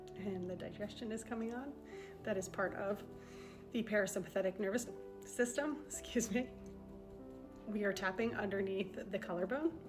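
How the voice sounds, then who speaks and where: A woman's gentle, calm tone with ordinary pitch variation, long, frequent pauses and music in the background. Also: medium pitch for a woman. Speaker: EFT tapping guide. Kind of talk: guided tapping session. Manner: slow.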